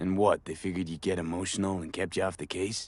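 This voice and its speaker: A man puts on a raspy character voice with a very deep, low pitch. He talks at a very fast pace over a quiet background. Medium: video game. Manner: casual, questioning.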